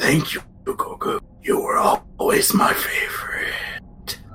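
Doing a put-on character voice, a man speaks raspy and at extremely high pitch, fairly slowly, over clear background noise. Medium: actual play. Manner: grandiose.

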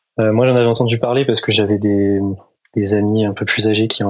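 Talking at a fairly quick pace, a man keeps a fairly low, monotone, flat delivery. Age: 20s. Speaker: engineering student and pilot. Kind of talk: interview.

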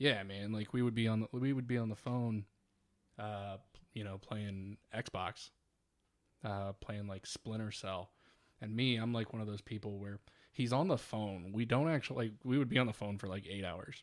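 Speaking in an ordinary speaking voice, a man keeps a fairly low pitch, moderate pace and fairly even intonation in a very clean recording with a silent background. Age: 30s. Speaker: podcast host. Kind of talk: casual chat.

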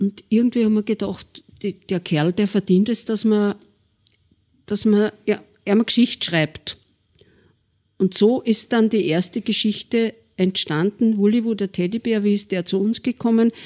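A woman with an Upper Austrian accent speaks at a fairly slow pace, her intonation fairly even and her tone dark and mellow. Long pauses come often, and the sound is dry and close with no echo. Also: medium pitch for a woman. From Linz, Upper Austria. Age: 70s. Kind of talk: interview.

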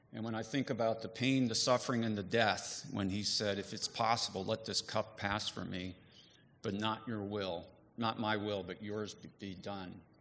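A man with a normal speaking voice, fairly low in pitch, at a moderate pace with fairly even intonation against a quiet background. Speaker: divinity faculty member. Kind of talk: testimony. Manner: casual, joking.

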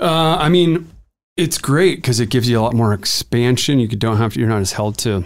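A man with a normal speaking voice talks at a fairly quick pace and a medium pitch with lively intonation, in a very clean recording with a silent background. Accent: American. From Montana. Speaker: film and commercial producer, production company owner. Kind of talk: casual interview chat. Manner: casual with frequent fillers.

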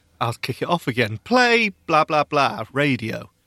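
A man's bright, sharp voice swings very widely in pitch. The sound is dry and close with no echo, in a very clean recording with a silent background. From UK. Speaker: podcast co-host. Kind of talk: casual chat. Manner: animated.

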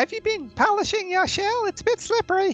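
A squeaky put-on character voice with an extremely high pitch moves at a fairly quick pace. Faint music plays in the background.

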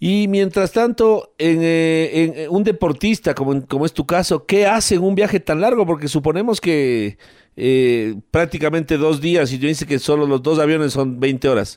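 On a very clean recording with a silent background, a man with a normal speaking voice and fairly high pitch talks at a fairly slow pace, with hardly any pauses, lively intonation and very even loudness. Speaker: sports radio host. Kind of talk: radio interview.

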